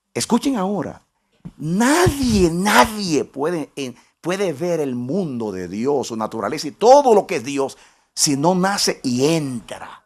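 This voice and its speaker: Using very wide pitch swings, a man with fairly high pitch speaks at a very slow pace. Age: 60s. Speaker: pastor. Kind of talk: sermon. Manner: repetitive, halting restarts.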